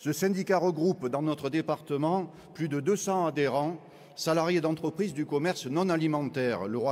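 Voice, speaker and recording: A man speaks with a Marseille accent at a moderate pace. His pitch is fairly high, with ordinary variation. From southern France, Marseille. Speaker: trade union delegate. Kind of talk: congress speech.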